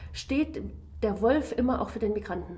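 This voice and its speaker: In an ordinary speaking voice, a woman talks at a moderate pace, her fairly high pitch showing ordinary pitch variation. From Germany. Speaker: political science professor. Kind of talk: interview.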